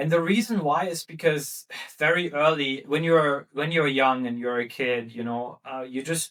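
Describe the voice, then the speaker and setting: A man's fairly high voice with ordinary pitch variation, at a moderate pace, with an Arabic accent. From Germany, Arabic-speaking refugee family. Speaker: startup founder. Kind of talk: podcast interview. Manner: many fillers and repetitions.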